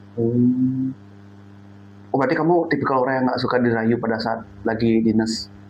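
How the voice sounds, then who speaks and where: Over music in the background and audible room echo, a man at medium pitch speaks with fairly even intonation and very even loudness, leaving long, frequent pauses. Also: moderate pace. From Bali (Denpasar, Buleleng family). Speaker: podcast interviewer. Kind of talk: casual interview chat.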